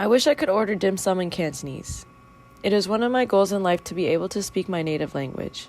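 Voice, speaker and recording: Very fast and with lively intonation, a woman at a medium pitch speaks with an American accent. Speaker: student. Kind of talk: reading aloud.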